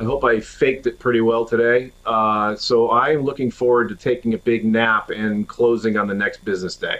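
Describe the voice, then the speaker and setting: It's an unremarkable speaking voice: a man at a medium pitch with ordinary pitch variation and a moderate pace. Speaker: podcast producer. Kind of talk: casual chat.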